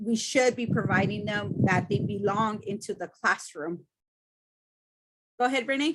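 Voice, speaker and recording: With a Spanish accent, a woman talks in a fairly high pitch and lively intonation. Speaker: student panelist. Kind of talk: panel discussion.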